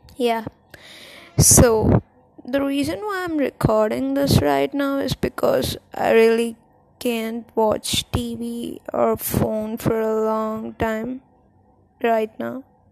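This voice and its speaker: Over noticeable background noise, a soft-spoken woman talks. Her pace is very slow. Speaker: podcaster. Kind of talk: casual monologue. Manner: halting.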